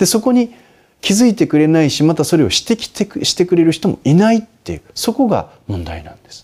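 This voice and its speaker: Lively intonation marks a man's high-pitched voice. He talks at a fairly quick pace with big swings in loudness. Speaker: Buddhist monk answering listener questions. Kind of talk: advice talk.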